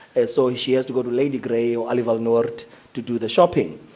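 A man speaks at a medium pitch with fairly even intonation. Noticeable background noise runs behind him. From Eastern Cape, South Africa. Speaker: business leader and labour representative. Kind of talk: panel discussion.

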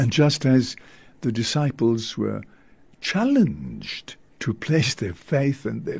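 Very slowly, a man speaks in a voice that is somewhat breathy. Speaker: priest leading evening prayer. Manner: earnest, reverent, slow and fervent.

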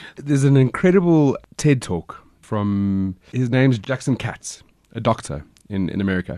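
A man at medium pitch and moderate pace, dark, mellow tone, very wide pitch swings. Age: 30s. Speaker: podcast host. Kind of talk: casual chat. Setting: studio.

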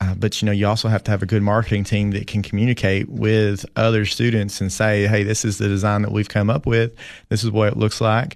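Monotone, flat delivery with a Tennessee accent at a fairly quick pace, very even loudness and a quiet background. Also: man, fairly low pitch for a man. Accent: US Southern (Tennessee). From Tennessee (Fentress County). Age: 30s. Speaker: school athletic director. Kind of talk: casual interview. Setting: studio.

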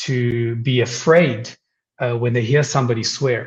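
A somewhat breathy voice at a fairly slow pace. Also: man. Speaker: psychologist guest. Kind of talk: casual radio interview. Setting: radio call-in.

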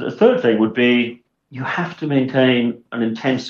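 A man's voice with a Welsh accent. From South Wales (Swansea). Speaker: investment director. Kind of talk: interview.

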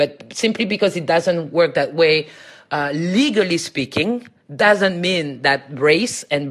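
Speaking at a fairly slow pace, a woman has a very deep, low pitch. Her intonation is lively. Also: quiet background. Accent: French. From France, Paris. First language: French. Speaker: academic. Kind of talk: interview.

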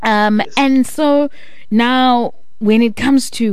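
A woman is speaking. Room echo can be heard. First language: Xhosa. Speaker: radio host. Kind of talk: radio interview.

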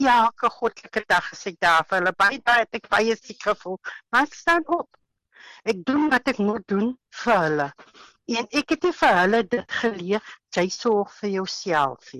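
A woman speaks in a fairly high, bright, sharp voice with very wide pitch swings. The sound is dry and close with no echo against a quiet background. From Western Cape, South Africa. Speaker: housewife sharing COVID recovery testimony. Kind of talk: testimony.

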